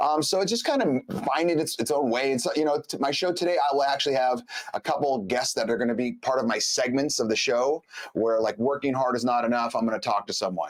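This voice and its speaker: Over noticeable background noise, a man with a fairly high pitch talks at a very fast pace in an animated tone, his intonation lively and his loudness very even. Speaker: podcast host. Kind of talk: casual chat.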